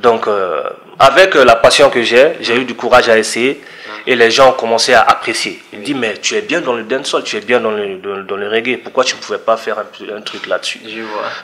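Over light background noise, a man speaks at a moderate pace with ordinary pitch variation and big swings in loudness. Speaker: guest. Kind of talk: interview answer. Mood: relaxed, smiling. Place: studio. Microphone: studio mic.

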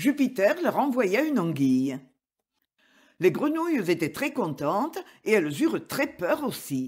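A man with a high voice at a fairly slow pace, with very wide pitch swings and long, frequent pauses. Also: very clean recording, silent background. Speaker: audiobook narrator. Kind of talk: scripted narration, fable read aloud as a dramatic tale.

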